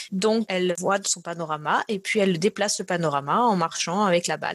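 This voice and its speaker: Here a woman speaks with a slight southern French accent at a moderate pace. Her pitch is medium, with ordinary variation. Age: 30s. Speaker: neuroscience researcher. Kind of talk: interview. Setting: remote call from home.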